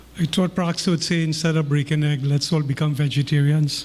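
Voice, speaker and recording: Amid noticeable background noise, a man speaks at a moderate pace and a fairly high pitch in a flat monotone. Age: 60s. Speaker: community member giving remarks. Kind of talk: informal speech.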